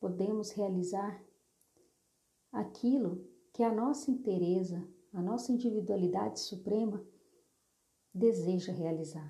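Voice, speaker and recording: With audible room echo, a woman of medium pitch speaks fairly slowly in a dark, mellow, somewhat breathy tone, her intonation lively. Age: 30s. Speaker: therapist. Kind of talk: solo monologue.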